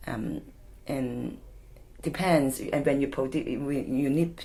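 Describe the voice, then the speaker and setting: A woman speaks in a Hong Kong accent. Her pace is very slow. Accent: Hong Kong Cantonese-accented English. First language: Cantonese. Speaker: community charity worker. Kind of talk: oral history interview. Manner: halting.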